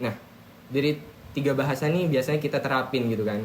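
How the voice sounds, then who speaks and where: A man with a Madurese accent speaks at a fairly high pitch. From Madura, Indonesia (Bangkalan). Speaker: university student. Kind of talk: casual group podcast discussion. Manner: naturally loud, forceful tone; halting, many fillers.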